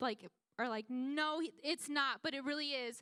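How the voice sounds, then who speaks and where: A woman's high, bright and sharp voice, raised and projected, with ordinary pitch variation and a dry, close sound with no echo. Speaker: youth pastor. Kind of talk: sermon. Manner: fast; casual.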